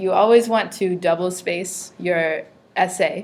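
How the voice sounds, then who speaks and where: A woman speaks at a medium pitch with ordinary pitch variation. Her pace is fairly slow. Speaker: teacher. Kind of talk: classroom lesson. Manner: loud.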